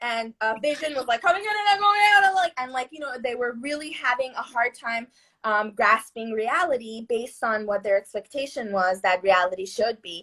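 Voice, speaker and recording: Moving at a moderate pace, a woman with a high pitch speaks with very wide pitch swings and big swings in loudness. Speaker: neuroscientist and movement coach. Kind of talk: casual chat.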